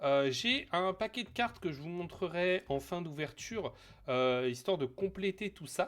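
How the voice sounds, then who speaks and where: At a fairly slow pace, a man talks at a high pitch with lively intonation. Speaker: streamer. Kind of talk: casual live stream chat. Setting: home live stream on camera. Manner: hesitant, many fillers.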